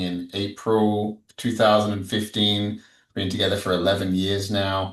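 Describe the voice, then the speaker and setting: An Australian accent marks this man's fairly low voice as he speaks at a fairly slow pace. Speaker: psychedelic integration coach. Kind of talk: podcast interview. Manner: casual.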